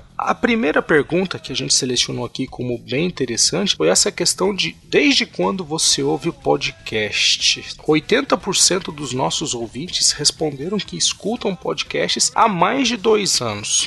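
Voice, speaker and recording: A man speaks at a fairly slow pace with hardly any pauses. Noticeable background noise runs underneath. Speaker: podcast host. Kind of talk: casual chat.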